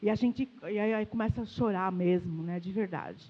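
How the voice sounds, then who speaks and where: A woman speaks at a moderate pace. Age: 60s. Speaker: pastor. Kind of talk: sermon. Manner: animated.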